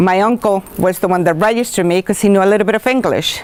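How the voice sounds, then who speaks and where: Noticeable background noise accompanies a woman speaking. She has a Spanish accent and ordinary pitch variation. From Colombia. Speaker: school teacher. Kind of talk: personal talk to students.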